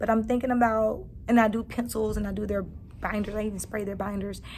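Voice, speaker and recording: A somewhat breathy voice moves at a fairly quick pace with monotone, flat intonation and audible room echo. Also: woman. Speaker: kindergarten teacher and vlogger. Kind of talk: casual vlog. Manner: hurried.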